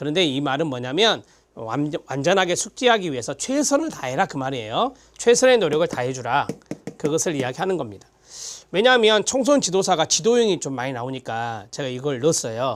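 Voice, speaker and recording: A man talks at a fairly quick pace in a fairly high pitch, making very wide pitch swings. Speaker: lecturer. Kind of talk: lecture.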